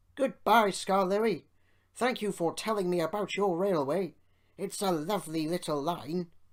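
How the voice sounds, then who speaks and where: A put-on character voice comes through at a middle pitch and a moderate pace. The recording is very clean, with a silent background. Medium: read story.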